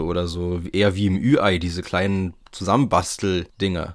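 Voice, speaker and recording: Over a silent background in a very clean recording, a man speaks with a very deep, low pitch. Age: 20s. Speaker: podcast host. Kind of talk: solo podcast monologue. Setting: attic room at home. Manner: casual, chatty.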